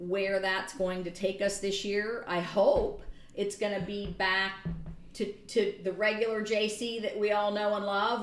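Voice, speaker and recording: Woman in an American accent, medium pitch, monotone and flat, at a fairly slow pace with audible room echo. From Michigan. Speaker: college gymnastics head coach. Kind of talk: interview.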